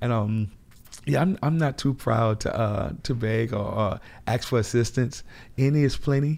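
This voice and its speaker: At a moderate pace and medium pitch, a man speaks with ordinary pitch variation and very even loudness in a very clean recording with a silent background. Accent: New Orleans. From New Orleans, Lower Ninth Ward. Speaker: grocery store owner, army veteran. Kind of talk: interview.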